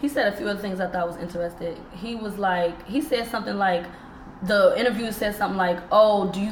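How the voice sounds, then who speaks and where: A woman's very fast speech with ordinary pitch variation, amid noticeable background noise. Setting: studio.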